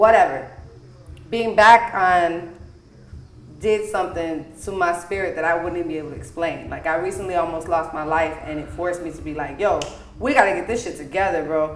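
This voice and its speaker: With an American accent and a fairly low pitch, a woman talks at a fairly quick pace in an animated tone, showing ordinary pitch variation and big swings in loudness, amid noticeable background noise and audible room echo. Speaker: podcast host and singer. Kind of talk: casual chat.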